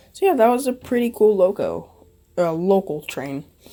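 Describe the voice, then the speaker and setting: This woman's tone is dark and mellow. She speaks with lively intonation. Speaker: model railroad hobbyist. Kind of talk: casual voice-over narration of an event walkthrough.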